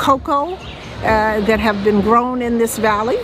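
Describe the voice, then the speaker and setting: Woman with an American accent, high-pitched and at a fairly slow pace, over noticeable background noise. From United States. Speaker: market owner. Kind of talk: interview. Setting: outdoors at a market.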